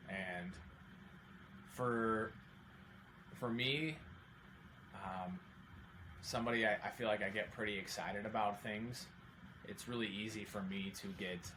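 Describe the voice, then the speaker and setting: Amid audible room echo, a man with a fairly low voice speaks at a fairly slow pace and leaves long, frequent pauses. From Oregon, Salem. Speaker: accountant and amateur triathlete. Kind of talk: podcast interview.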